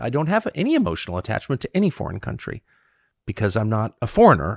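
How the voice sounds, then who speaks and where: A man with vocal fry, a dry sound with no echo, and a quiet background. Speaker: podcast host. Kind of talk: interview answer. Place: home room. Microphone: studio mic.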